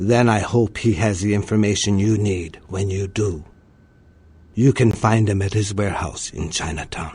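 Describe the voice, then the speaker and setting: In a put-on character voice, a man speaks at a fairly low pitch and a moderate pace. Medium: video game.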